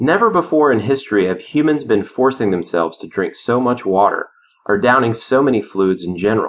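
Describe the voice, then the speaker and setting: Lively intonation marks this man's an unremarkable speaking voice, pitched medium and moving at a fairly quick pace. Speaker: audiobook narrator and author. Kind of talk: audiobook reading of his own nonfiction, a clear, explanatory lecture-like delivery. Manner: earnest, measured and didactic, with a steady, conversational authority; persuasive, with a confident, slightly contrarian edge.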